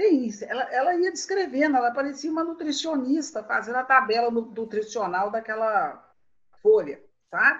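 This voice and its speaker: Very wide pitch swings in a woman's high voice, moderate in pace. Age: 60s. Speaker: writer and storyteller. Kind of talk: casual chat.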